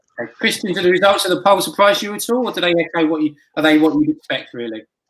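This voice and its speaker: A man with a British accent talks at a very fast pace. His voice is high in pitch, with lively intonation. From Britain. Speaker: magazine editor and roundtable host. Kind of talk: moderating online panel.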